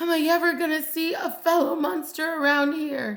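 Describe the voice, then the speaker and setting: The woman uses a put-on character voice with extremely high pitch. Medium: read story. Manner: excitable.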